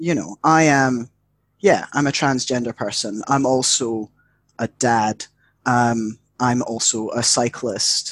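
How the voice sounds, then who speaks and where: A man with a British accent speaks very slowly at a medium pitch. His pitch varies in an ordinary way. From UK. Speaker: educator and mental health worker. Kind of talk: casual chat.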